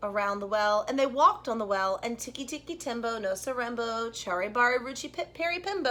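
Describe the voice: What you hear is plain reading aloud.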